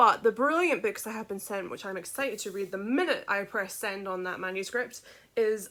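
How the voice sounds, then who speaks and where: A woman with a bright, sharp tone, medium pitch, ordinary pitch variation and a Scottish accent. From Scotland, village outside Edinburgh. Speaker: children's book author. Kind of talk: casual vlog update.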